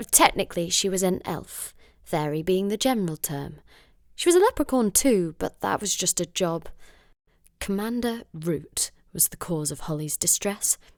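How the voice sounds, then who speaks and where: A woman with an unremarkable speaking voice, medium pitch and lively intonation at a moderate pace, dry and close with no echo, on a very clean recording with a silent background. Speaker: voice actor. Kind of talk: audiobook reading.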